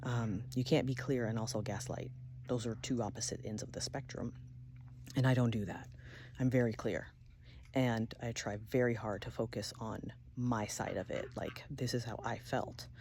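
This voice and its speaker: Calm in tone, a woman speaks at a moderate pace with a very deep, low pitch, a dark, mellow tone, vocal fry and monotone, flat intonation. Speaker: video blogger. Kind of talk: personal vlog monologue. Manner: many filler ums.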